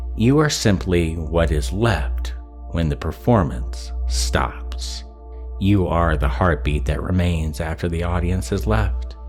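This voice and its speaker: A man speaks at a very slow pace in a very deep, low voice with lively intonation while music plays in the background. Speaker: ASMR hypnosis roleplay creator. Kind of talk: hypnosis induction roleplay. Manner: slow, soothing.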